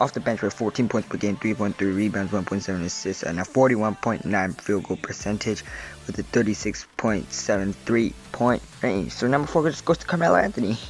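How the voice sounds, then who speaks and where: Music plays behind a man whose fairly low voice runs at a fairly quick pace with lively intonation and hardly any pauses. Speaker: YouTuber ranking basketball players. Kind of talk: casual commentary video. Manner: soft-spoken, quiet.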